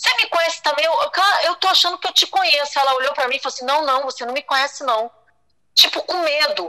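Raised and projected, a woman's high voice rushes at a very fast pace with lively intonation and an animated tone. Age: 50s. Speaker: guest sharing personal story. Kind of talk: testimony.

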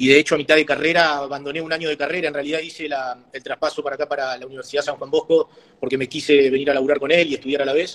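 Over noticeable background noise, a man with a Rioplatense accent speaks very fast with hardly any pauses, his fairly high pitch held in a flat, monotone intonation. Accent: Argentine Rioplatense Spanish. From Argentina, Patagonia (Trelew, Chubut). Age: 40s. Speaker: mayoral candidate, businessman. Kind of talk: interview.

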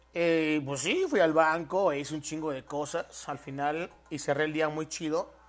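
A man with a Mexican accent speaks at a fairly slow pace with hardly any pauses. His pitch is fairly high. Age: 20s. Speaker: podcaster. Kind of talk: casual solo podcast monologue. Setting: at home in his apartment. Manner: animated.

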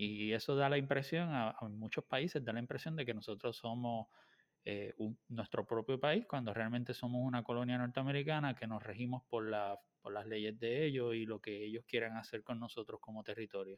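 A man talks in an ordinary speaking voice, at a medium pitch and moderate pace, with fairly even intonation. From Puerto Rico. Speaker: podcast host. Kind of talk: interview.

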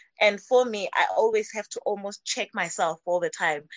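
A woman speaks at a moderate pace. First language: not English. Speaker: spiritual teacher. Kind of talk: live-streamed spiritual conversation. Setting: video call. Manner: halting.

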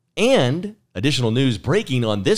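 On a very clean recording with a silent background, a man with vocal fry talks at a medium pitch and a moderate pace. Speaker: podcast co-host. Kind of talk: casual chat.

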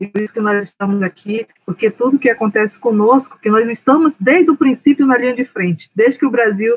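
At a fairly quick pace with hardly any pauses, a woman talks at a fairly high pitch with ordinary pitch variation in a plain, everyday voice, the sound dry and close with no echo. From Brazilian Amazon, Alto Solimões. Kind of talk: interview conversation.

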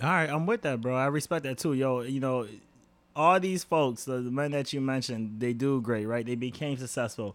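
A man with a New York accent talks at a fairly quick pace, his pitch medium with ordinary variation. The recording is very clean, with a silent background. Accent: New York urban. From New York, Rochester. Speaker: podcast host. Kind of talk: casual chat. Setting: home. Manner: animated.

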